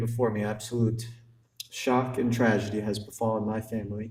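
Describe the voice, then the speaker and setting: A man's somewhat breathy voice holds a monotone, flat intonation amid audible room echo. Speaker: son giving a eulogy. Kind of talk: eulogy. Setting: funeral ceremony. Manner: halting.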